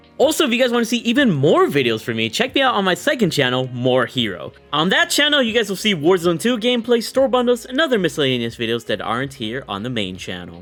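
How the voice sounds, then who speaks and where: Over music in the background, a man speaks at a very fast pace in a high pitch, with very wide pitch swings and hardly any pauses. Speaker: gaming youtuber. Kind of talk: gameplay commentary outro.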